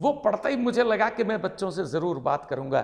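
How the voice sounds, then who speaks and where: Lively intonation carries this moderately paced speech. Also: man. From Rajasthan (Marwari). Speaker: English teacher. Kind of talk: lecture.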